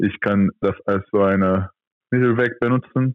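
A man speaks in a monotone with flat intonation at a fairly slow pace. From Turkey. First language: Turkish (speaking German). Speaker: professional handball player. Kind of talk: interview. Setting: phone or video call.

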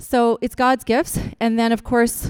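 A woman with an unremarkable speaking voice talks at a fairly slow pace and fairly high pitch, in a dry, close sound with no echo. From Newfoundland, Canada. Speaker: chiropractor and acupuncturist, guest speaker. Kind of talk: church talk to a congregation.

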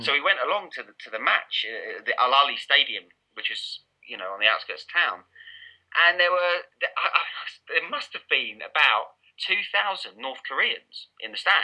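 A man speaks in an Essex accent at a fairly slow pace. His loudness swings a lot. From Essex, England. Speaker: football journalist and author. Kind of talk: casual interview chat. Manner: informal, hesitant with fillers.

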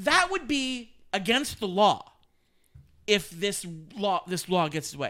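In a raised, projected voice, a man speaks high for his sex with a bright, sharp tone and lively intonation, at a fairly slow pace broken by long, frequent pauses. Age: 30s. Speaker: podcast co-host. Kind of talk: casual chat.

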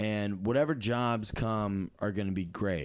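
A plain, everyday voice from a man at fairly low pitch, with ordinary pitch variation, on a very clean recording with a silent background. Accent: American. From Massachusetts. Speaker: comedian. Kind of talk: casual chat.

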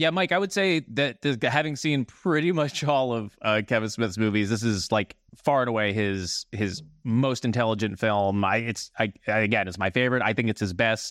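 Over a quiet background, a man with an unremarkable speaking voice and an American accent speaks at a moderate pace and medium pitch with lively intonation and hardly any pauses. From New Jersey. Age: 30s. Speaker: podcast guest, fellow podcaster. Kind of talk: casual chat.

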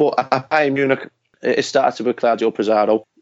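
In a Liverpool accent, a man speaks at a fairly quick pace with flat, monotone intonation. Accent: Liverpool Scouse. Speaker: author. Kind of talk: casual interview chat.

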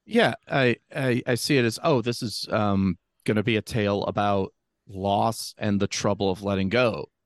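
An ordinary speaking voice from a man, fairly low in pitch, moves at a moderate pace with ordinary pitch variation, in a dry, close sound with no echo and a quiet background. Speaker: podcast guest. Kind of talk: casual chat.

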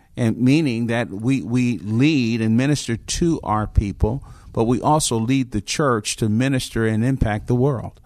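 An unremarkable speaking voice from a man with an American accent, medium in pitch, with ordinary pitch variation and a fairly slow pace. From New Jersey (Newark). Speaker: pastor. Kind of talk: interview. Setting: conference venue.

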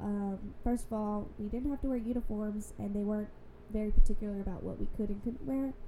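Very fast speech from a woman with an American accent and fairly even intonation, over noticeable background noise. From Louisiana, US South. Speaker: podcast guest. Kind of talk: casual chat.

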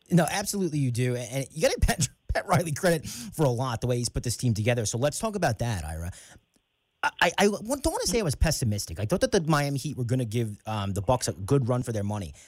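A man talks at a very fast pace, his pitch swinging very widely. His voice is somewhat breathy. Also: medium pitch for a man. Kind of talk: sports talk radio co-host banter and show hosting. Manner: upbeat, conversational, lightly joking.

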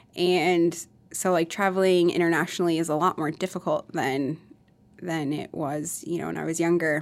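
Monotone, flat delivery at a moderate pace in a very clean recording with a silent background. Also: woman, fairly low pitch for a woman. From Minnesota and Iowa. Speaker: skin clinic owner, former nurse. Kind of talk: casual interview.

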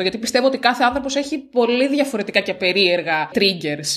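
Over noticeable background noise, a woman talks fairly quickly at a fairly high pitch, her voice making very wide pitch swings. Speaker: podcast co-host. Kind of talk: casual chat. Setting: on a farm on an island.

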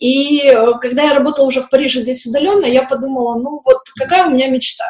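A woman is speaking. Her pitch is high. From post-Soviet industrial town. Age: 30s. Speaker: children's art teacher. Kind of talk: interview. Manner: hesitant.

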